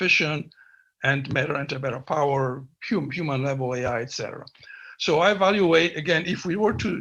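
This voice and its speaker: Against a quiet background, a man talks with a bright, sharp tone and a fairly high pitch. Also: ordinary pitch variation. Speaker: scientist. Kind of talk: conference talk. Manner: halting.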